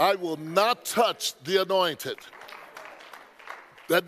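Crowd noise fills the background as a man talks at a very slow pace. His high-pitched voice has lively intonation. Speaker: bishop, preacher. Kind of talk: sermon preaching. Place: church. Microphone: headset.

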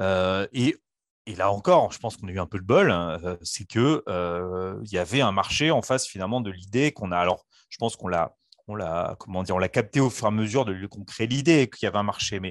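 A man talks fairly quickly in a fairly low pitch, with ordinary pitch variation and big swings in loudness. The sound is dry with no echo, and the background is quiet. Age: 30s. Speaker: startup founder; guest. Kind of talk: interview. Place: home room.

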